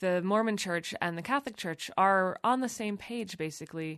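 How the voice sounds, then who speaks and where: A woman with an American accent and an ordinary speaking voice, her pitch varying in an ordinary way at a moderate pace against a quiet background. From United States. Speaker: magazine editor. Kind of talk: interview. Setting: studio.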